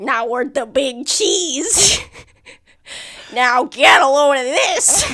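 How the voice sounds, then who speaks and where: A put-on character voice talks at a very slow pace. Long pauses come often. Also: female-sounding voice, high pitch for a woman. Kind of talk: rough, tough-guy.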